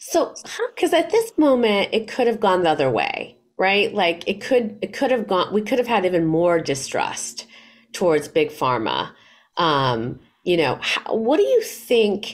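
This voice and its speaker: A woman speaks at a fairly slow pace with vocal fry and very wide pitch swings. The background is quiet. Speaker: interview moderator and nonprofit founder. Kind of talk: interview. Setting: video call. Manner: animated, casual filler-heavy speech. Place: home room. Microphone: webcam.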